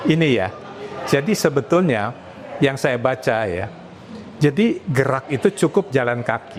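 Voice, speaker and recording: At a fairly slow pace with long, frequent pauses, a man uses a medium pitch and lively intonation against noticeable background noise. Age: 70s. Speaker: medical doctor. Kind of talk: podcast interview.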